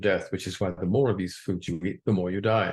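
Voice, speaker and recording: A man talks in a fairly low, somewhat breathy voice. The background is quiet. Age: 70s. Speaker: doctor giving a health talk. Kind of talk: lecture. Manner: formal.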